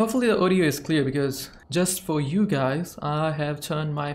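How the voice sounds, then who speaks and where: A man's fairly high pitch with ordinary pitch variation. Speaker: gaming streamer. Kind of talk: casual gaming commentary. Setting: home recording at night while playing online with friends. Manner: animated, excitable, laughs often. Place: home room.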